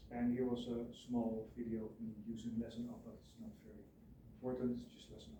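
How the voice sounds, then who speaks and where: A man mumbles at a fairly quick pace in a dark, mellow, somewhat breathy tone of medium pitch, with ordinary pitch variation and audible room echo. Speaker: student teacher. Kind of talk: presentation. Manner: mumbling at sentence ends; halting.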